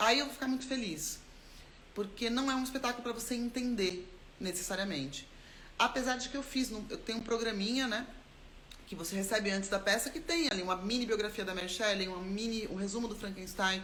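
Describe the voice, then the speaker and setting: Amid noticeable background noise and audible room echo, a woman speaks at a fairly quick pace. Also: fairly high pitch for a woman, ordinary pitch variation. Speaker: actor and theatre maker. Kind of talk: live stream talk about creative process. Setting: live stream. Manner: fast.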